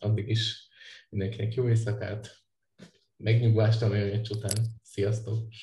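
A man's somewhat breathy, dark, mellow voice, fairly low in pitch and monotone, at a very slow pace with long, frequent pauses. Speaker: podcast host. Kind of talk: casual chat.

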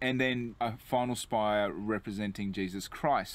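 The sound is dry, with no echo. A man speaks at a moderate pace. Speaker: tour guide. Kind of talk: walking tour commentary. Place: street.

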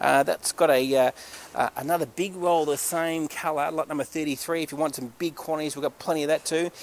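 At a fairly quick pace, a man with an Australian accent speaks in a dry sound with no echo. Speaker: auctioneer. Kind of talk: sales pitch. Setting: warehouse walk-through on camera. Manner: animated. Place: factory. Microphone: phone near.

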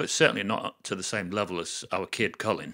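Against a quiet background, a man talks at a fairly quick pace in a bright, sharp tone with lively intonation. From England. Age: 60s. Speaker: video blogger. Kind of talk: casual monologue to camera. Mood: reflective, earnest. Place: home room. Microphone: studio mic.

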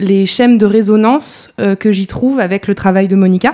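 Her pitch is medium and her intonation fairly even. The woman has an ordinary speaking voice and keeps a moderate pace. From Paris suburbs, France. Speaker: PhD student in geography. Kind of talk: academic presentation.

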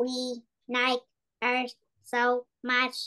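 This put-on character voice has a playful tone and monotone, flat intonation. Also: female-sounding voice, high pitch for a woman. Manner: robotic, playful.

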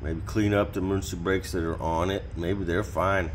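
Very deep, low male voice with vocal fry and ordinary pitch variation, over light background noise. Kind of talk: casual vlog chat. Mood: relaxed, reflective. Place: garage. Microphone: camera far.

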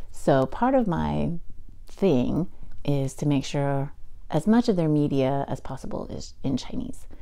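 A woman with a very deep, low pitch speaks at a fairly slow pace with lively intonation. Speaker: podcast host and writer. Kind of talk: solo podcast monologue. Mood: enthusiastic, playful. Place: home room. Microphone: lapel.

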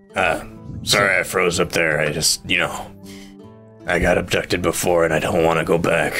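Over clear background music, a man does a put-on character voice, pitched very deep and low, at a moderate pace. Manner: nervous, frightened.

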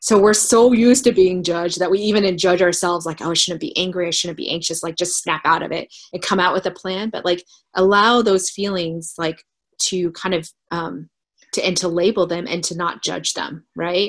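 A woman talks at a medium pitch and moderate pace. Her intonation stays fairly even, and the background is quiet. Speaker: startup co-founder. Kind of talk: casual chat. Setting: video call. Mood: warm, reflective. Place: home room. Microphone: webcam.

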